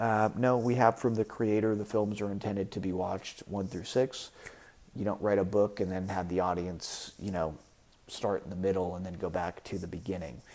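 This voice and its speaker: On a very clean recording with a silent background, a man speaks with a fairly low pitch and fairly even intonation. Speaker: online commentator. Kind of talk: opinion monologue. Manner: fast.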